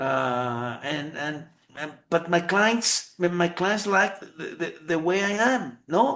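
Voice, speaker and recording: The voice moves at a very slow pace, with lively intonation and big swings in loudness. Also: man, high pitch for a man. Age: 60s. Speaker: lawyer. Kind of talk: interview. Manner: halting, many repetitions.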